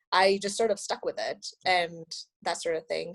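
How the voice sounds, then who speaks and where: A woman with a Spanish accent speaks at a moderate pace with lively intonation. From Mexico, Monterrey. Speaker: astronomy graduate student. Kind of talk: podcast interview. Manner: casual, many fillers.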